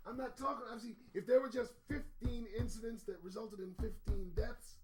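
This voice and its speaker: Music plays in the background as a man with an extremely high pitch and ordinary pitch variation speaks at a moderate pace. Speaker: news commentary host. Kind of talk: solo news commentary livestream. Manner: loud.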